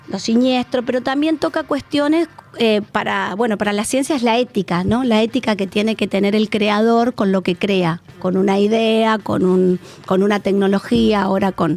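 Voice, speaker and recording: Music plays in the background as a woman of medium pitch speaks at a moderate pace, with very even loudness and ordinary pitch variation. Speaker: psychoanalyst. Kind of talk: radio interview.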